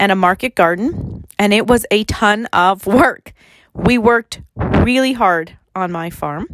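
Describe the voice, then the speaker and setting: In a Canadian Prairies accent, a woman with a medium-pitched voice speaks at a very slow pace with lively intonation, the sound dry and close with no echo. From Saskatchewan, Canada. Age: 40s. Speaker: podcast host and gym owner. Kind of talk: casual monologue.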